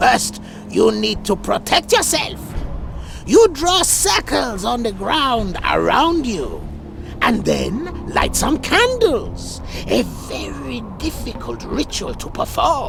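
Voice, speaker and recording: Over loud background music, a put-on character voice speaks at a very slow pace. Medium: video game. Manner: expository, knowing.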